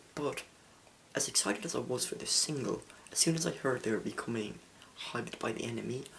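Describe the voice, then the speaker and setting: Soft-spoken and lively in intonation, the speaker goes at a very fast pace broken by long, frequent pauses. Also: man, medium pitch for a man. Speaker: music reviewer. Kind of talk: album review monologue. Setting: home recording late at night. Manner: quiet, soft-spoken.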